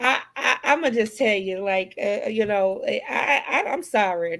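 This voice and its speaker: Animated in tone, a woman with an American accent and a fairly high pitch speaks at a fairly slow pace with hardly any pauses. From US South. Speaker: talk show host. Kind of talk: casual chat.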